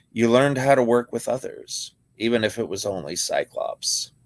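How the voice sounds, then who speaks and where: A raspy, put-on character voice at a moderate pace. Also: man. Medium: read story. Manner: calm, measured.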